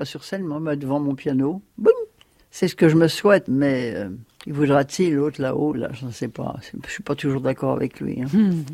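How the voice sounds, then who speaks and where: Speaking at a moderate pace, a woman has a very deep, low pitch, a dark, mellow tone and ordinary pitch variation. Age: 80s+. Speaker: singing teacher, former opera singer. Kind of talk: casual interview.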